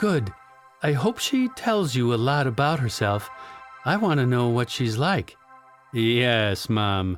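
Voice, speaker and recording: Over music in the background, a man talks at a very slow pace with long, frequent pauses, medium pitch and very even loudness. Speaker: audiobook narrator. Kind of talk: audiobook narration.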